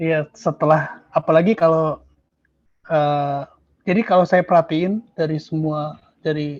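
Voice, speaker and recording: A man talks fairly slowly at a fairly high pitch, his intonation fairly even. The sound is dry and close, with no echo. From Indonesia. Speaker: exam testimonial speaker. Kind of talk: testimony.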